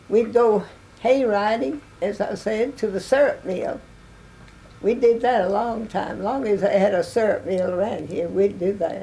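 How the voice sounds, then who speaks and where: Over noticeable background noise, a woman with an East Texas accent speaks at a fairly slow pace in a medium pitch with ordinary pitch variation. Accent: East Texas Southern. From US South. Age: 90s. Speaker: oral history interviewee. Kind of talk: interview. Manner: halting.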